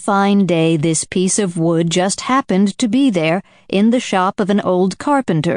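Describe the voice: Simple, plain reading aloud.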